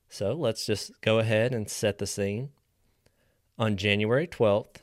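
With an American accent, an ordinary speaking voice moves at a moderate pace in a very clean recording against a silent background. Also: man. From West Virginia. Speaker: true crime podcast host. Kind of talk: true crime storytelling.

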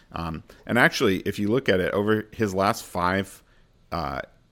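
Here a man speaks with a very deep, low pitch at a moderate pace. The recording is very clean, with a silent background. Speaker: fantasy football host. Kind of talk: casual podcast banter and game previews. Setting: studio podcast.

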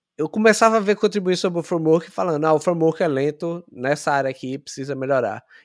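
Speaking at a very fast pace with hardly any pauses, a man uses lively intonation at a fairly high pitch. The background is quiet. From Brazil, Sergipe (Aracaju). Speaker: software engineer. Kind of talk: interview.

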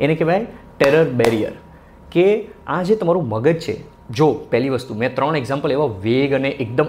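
A man's pitch shifts by an ordinary amount as noticeable background noise carries on behind him. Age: 30s. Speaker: podcast host. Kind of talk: motivational talk. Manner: animated.

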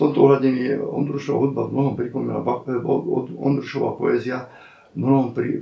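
The talking moves at a fairly quick pace over noticeable background noise. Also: man. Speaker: writer and translator. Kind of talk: oral history interview. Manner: halting, many repetitions and fillers.

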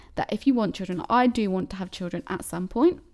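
A woman with a southern English accent talks at a medium pitch with ordinary pitch variation. The recording is very clean, with a silent background. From Cambridge, England. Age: 20s. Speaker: podcast host. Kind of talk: solo casual monologue. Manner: chatty, rambling with fillers.

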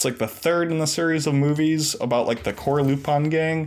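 A man talks at a moderate pace with fairly high pitch. He has an unremarkable speaking voice. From US Northeast. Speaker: community member and podcast guest. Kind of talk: casual chat.

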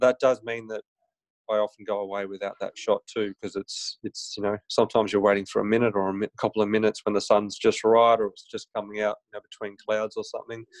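A man talks at a very fast pace with an Australian accent. The sound is dry and close with no echo, over a quiet background. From Griffith, New South Wales, Australia. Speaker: chiropractor and photographer. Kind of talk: casual interview. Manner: hesitant, many fillers.

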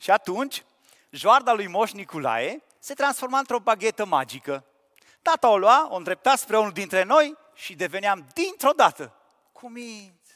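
A high-pitched man's voice with a bright, sharp tone, very wide pitch swings and big swings in loudness, fairly slow, with a dry, close sound and no echo. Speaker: preacher. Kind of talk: sermon.

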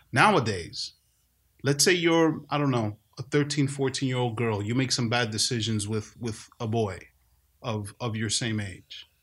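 A man talks at a moderate pace and medium pitch with ordinary pitch variation. He has a plain, everyday voice. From New York City. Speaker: podcast host, dad. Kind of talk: casual podcast discussion. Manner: conversational, joking.

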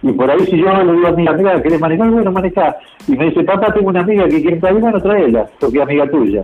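A man talks at a very fast pace with a high pitch and lively intonation. His loudness stays very even over noticeable background noise. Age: 60s. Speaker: transport worker, truck and bus driver. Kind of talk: interview, casual chat.

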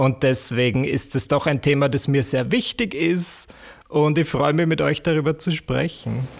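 A man with an Austrian accent, a fairly high pitch, vocal fry, very even loudness and a fairly slow pace. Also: ordinary pitch variation. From Austria, rural village. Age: 20s. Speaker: YouTuber and entertainer. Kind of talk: casual chat.

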